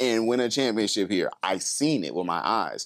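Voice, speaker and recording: With an unremarkable speaking voice, a man talks at a fairly slow pace and medium pitch, his intonation lively. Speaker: rapper and musician. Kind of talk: casual chat.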